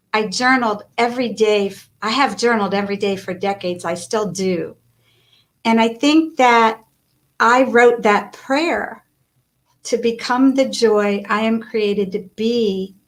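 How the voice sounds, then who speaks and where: Here a woman uses a normal speaking voice at a fairly high pitch. She talks at a fairly slow pace with ordinary pitch variation. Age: 60s. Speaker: author and life coach. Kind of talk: interview.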